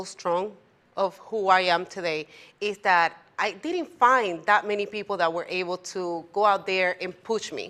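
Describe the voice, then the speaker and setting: A woman's medium-pitched voice with a Spanish accent, bright and sharp in tone, with ordinary pitch variation, on a very clean recording with a silent background. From Puerto Rico. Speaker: tax preparer, business owner. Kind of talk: talk show interview.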